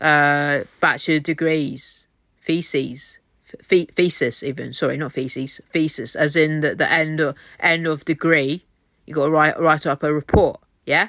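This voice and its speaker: In a very clean recording with a silent background, a woman with a very deep, low pitch talks at a fairly slow pace with fairly even intonation. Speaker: vlogger. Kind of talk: emotional rant to camera. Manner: loud, poorly regulated volume.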